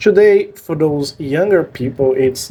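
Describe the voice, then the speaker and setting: A man talks at a fairly slow pace in a strong Brazilian accent. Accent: thick Brazilian Portuguese. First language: Portuguese. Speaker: language learning youtuber. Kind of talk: personal story vlog. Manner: halting with fillers.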